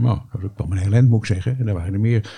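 The tone is dark and mellow, and somewhat breathy. Pitch variation is ordinary. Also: man. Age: 70s. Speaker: retired doctor and former local councillor. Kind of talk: podcast interview.

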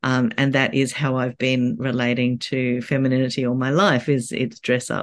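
The speaker has an Australian accent and a moderate pace. There are hardly any pauses. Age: 50s. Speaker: author. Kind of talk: casual interview chat. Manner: halting, many fillers.

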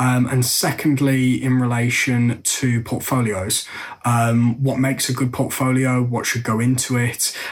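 A man with an English accent speaks fairly slowly at a medium pitch, with monotone, flat intonation, very even loudness and noticeable background noise. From England. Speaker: listener submitting question, sales and marketing worker. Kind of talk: recorded question.

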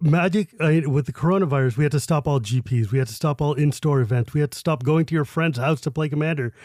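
The speech comes at a very fast pace with hardly any pauses, somewhat breathy and with ordinary pitch variation. The sound is dry and close with no echo, on a very clean recording with a silent background. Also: man, fairly high pitch for a man. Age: 40s. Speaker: Magic card game personality. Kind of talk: casual interview chat.

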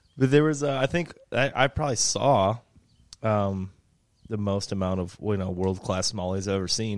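Over a very clean recording with a silent background, a man with an ordinary speaking voice talks at a moderate pace in a fairly low pitch with ordinary pitch variation. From outside Michigan. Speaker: fishing podcast host. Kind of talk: casual chat. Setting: garage.

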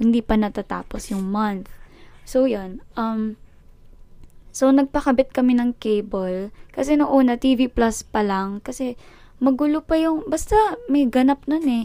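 A woman speaks with high pitch, ordinary pitch variation and a dark, mellow tone. The recording is very clean, with a silent background. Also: fairly slow pace. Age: 20s. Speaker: podcast host. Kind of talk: casual monologue. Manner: halting.

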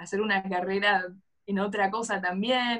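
A woman speaks in a normal speaking voice at a fairly high pitch. Her pace is moderate. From Argentina. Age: 20s. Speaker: economics graduate. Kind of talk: interview conversation.

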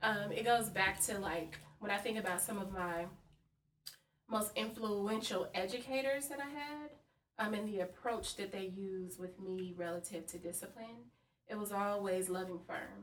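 In an unremarkable speaking voice, a woman talks at a medium pitch and a moderate pace with ordinary pitch variation. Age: 30s. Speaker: school administrator. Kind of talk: casual chat.

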